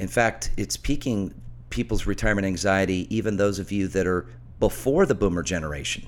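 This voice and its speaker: The speech moves at a fairly quick pace. Vocal fry runs through it. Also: man. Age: middle-aged. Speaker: financial radio host and author. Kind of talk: radio talk show with sales pitch. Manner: animated.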